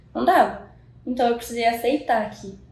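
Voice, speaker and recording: Speaking at a moderate pace in a fairly high pitch, a woman is heard with audible room echo around her. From Minas Gerais, Brazil (Zona da Mata, Juiz de Fora). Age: 20s. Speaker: medical student. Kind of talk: interview.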